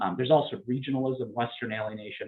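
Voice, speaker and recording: A medium-pitched man's voice with an American accent at a very fast pace. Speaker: political science professor. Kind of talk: lecture. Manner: many fillers and restarts.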